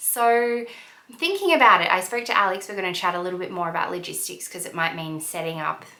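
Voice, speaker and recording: A woman talks at a medium pitch with ordinary pitch variation, against noticeable background noise and audible room echo. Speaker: lifestyle vlogger and wellness coach. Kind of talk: casual vlog talk.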